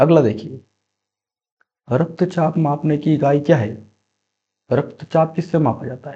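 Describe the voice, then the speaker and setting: A somewhat breathy man's voice at a fairly high pitch, very slow, with long, frequent pauses, big swings in loudness and ordinary pitch variation. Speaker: quiz teacher. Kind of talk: tutorial. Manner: repetitive, emphatic teaching style.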